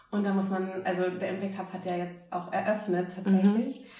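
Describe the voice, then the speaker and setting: The speech comes out in a flat monotone, with noticeable background noise and audible room echo. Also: woman. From northern Germany, Oldenburg. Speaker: startup founder. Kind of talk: interview. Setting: recorded over drinks.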